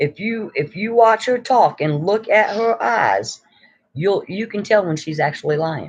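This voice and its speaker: A high-pitched man with an American accent, lively intonation and a fairly slow pace. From New York. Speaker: YouTuber. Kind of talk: casual live stream chat. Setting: live stream.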